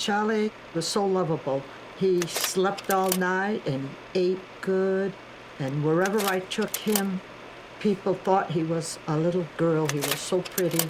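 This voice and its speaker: Noticeable background noise behind a woman's fairly slow delivery, with very even loudness and fairly even intonation. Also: medium pitch for a woman. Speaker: carver's mother. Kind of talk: documentary interview.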